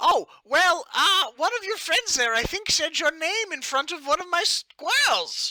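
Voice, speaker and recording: A man uses a put-on, squeaky character voice at an extremely high pitch. He keeps a moderate pace with hardly any pauses. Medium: actual play. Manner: friendly, rambling.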